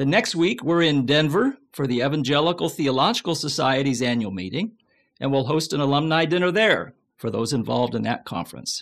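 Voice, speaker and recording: Lively intonation, a fairly quick pace, and vocal fry over a quiet background. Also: man, fairly high pitch for a man. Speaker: podcast host. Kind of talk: casual interview.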